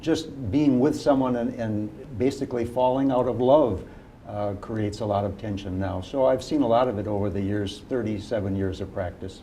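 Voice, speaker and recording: Moderate pace and ordinary pitch variation, with audible room echo. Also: man, fairly low pitch for a man. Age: 60s. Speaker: family law attorney, legal clinic volunteer. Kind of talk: TV interview. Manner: hesitant, frequent fillers.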